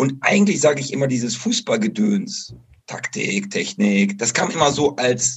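Speaking at a fairly slow pace, a man with a fairly high, somewhat breathy voice swings his pitch very widely. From western Germany, Bocholt (Dutch border). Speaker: football coach. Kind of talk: interview.

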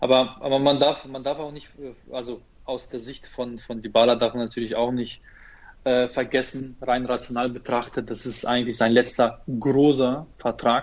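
Big swings in loudness, a moderate pace and monotone, flat intonation. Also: man, medium pitch for a man. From Ukraine, moved to Germany as a child. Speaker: football fan page operator. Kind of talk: casual chat.

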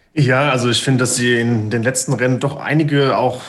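Speaking at a fairly quick pace, a man with a medium-pitched voice is heard over audible room echo. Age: 30s. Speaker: video producer. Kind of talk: casual chat.

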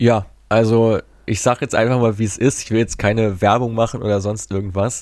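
On a very clean recording with a silent background, a man has an ordinary speaking voice. He speaks at a moderate pace with a fairly low pitch and fairly even intonation. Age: 20s. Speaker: football data analyst and startup founder. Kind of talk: interview.

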